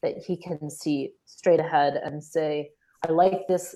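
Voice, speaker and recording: A woman's fairly low, dark, mellow voice in an American accent, at a very slow pace with fairly even intonation. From US, Syracuse New York. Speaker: former volunteer. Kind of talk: casual live interview chat. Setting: live video call stream.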